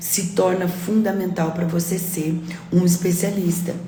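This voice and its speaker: Noticeable background noise and audible room echo accompany a woman speaking at a fairly low pitch. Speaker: real estate coach. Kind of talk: live stream chat. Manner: loud.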